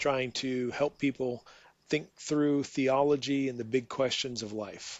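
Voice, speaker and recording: A man with a normal speaking voice and medium pitch talks at a fairly slow pace with fairly even intonation. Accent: American. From USA. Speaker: theologian and professor. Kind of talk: casual interview.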